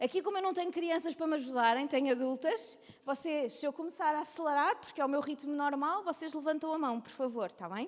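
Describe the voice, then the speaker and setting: A woman with a European Portuguese accent speaks in a high pitch at a fairly quick pace, with hardly any pauses. Her tone is animated, and her pitch varies in an ordinary way. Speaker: women's ministry speaker. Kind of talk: lecture. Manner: fast.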